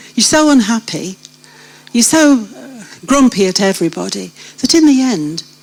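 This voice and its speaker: A woman with a British accent and a fairly high pitch swings very widely in pitch, with noticeable noise in the background. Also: long, frequent pauses. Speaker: church member sharing life story. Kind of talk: testimony. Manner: animated.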